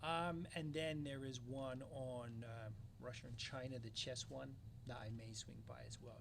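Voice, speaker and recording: The voice is somewhat breathy, with ordinary pitch variation and audible room echo. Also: man. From London, England. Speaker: security company founder. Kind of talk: interview. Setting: conference.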